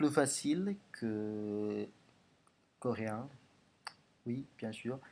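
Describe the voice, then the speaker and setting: Very slow in pace, a man speaks with an Indonesian accent. His dark, mellow voice sits at medium pitch with ordinary pitch variation. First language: Indonesian (speaking French). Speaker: language learner vlogger. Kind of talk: language progress video monologue. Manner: halting, many hesitations and repetitions.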